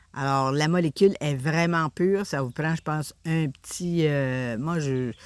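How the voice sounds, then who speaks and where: On a very clean recording with a silent background, the speaker goes at a very slow pace with ordinary pitch variation. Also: woman. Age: 60s. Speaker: essential oils seller. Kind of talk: product presentation. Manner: hesitant, many fillers.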